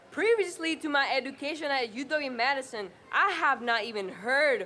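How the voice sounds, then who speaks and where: At a moderate pace, a woman talks in a raised, projected voice with lively intonation. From Honduras. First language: Spanish. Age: 20s. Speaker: community organizer. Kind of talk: rally speech. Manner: animated.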